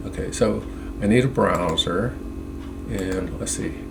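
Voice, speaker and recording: Through audible room echo and noticeable background noise, a man speaks at a fairly low pitch with lively intonation. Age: 70s. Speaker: independent internet researcher. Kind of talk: screen-share monologue. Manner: halting, many fillers and restarts.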